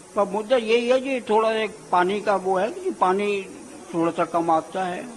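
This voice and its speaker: A man's high-pitched voice with ordinary pitch variation, set against noticeable background noise. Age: 80s+. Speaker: voter. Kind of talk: street interview.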